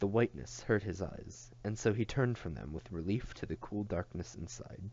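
The speaker reads in a natural reading voice.

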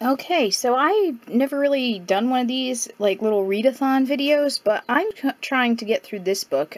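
The woman's voice sits high in pitch. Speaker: book vlogger. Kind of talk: casual vlog chat. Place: home room.

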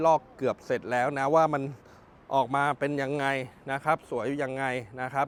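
The recording has a dry, close sound with no echo. A man with a fairly high pitch talks in a monotone, flat intonation. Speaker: used car dealer / car vlogger. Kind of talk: walkaround sales video. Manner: loud.

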